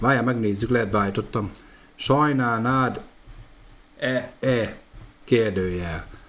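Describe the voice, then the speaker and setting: In a room with audible echo, a man speaks at a very slow pace with long, frequent pauses. His pitch is medium, with ordinary variation. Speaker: podcast host. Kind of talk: casual chat. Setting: live stream.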